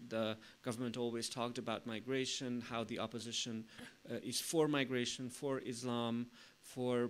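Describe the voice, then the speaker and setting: A man with a Hungarian accent talks at a medium pitch. His pace is moderate and his intonation monotone and flat. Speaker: think tank strategy director. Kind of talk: conference presentation. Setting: conference with live stream audience. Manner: halting.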